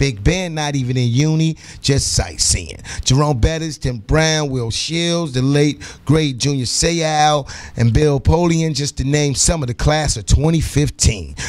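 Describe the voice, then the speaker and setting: Noticeable background noise sits behind a man with a fairly high pitch. He speaks at a fairly slow pace, with ordinary pitch variation. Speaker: radio sports news segment host. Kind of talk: morning radio show sports news report. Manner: casual, chatty, energetic.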